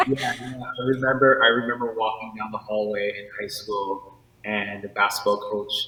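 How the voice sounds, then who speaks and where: Over noticeable background noise, a man speaks with monotone, flat intonation and big swings in loudness. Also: medium pitch for a man, moderate pace. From New York. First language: not English. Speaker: artist. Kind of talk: interview.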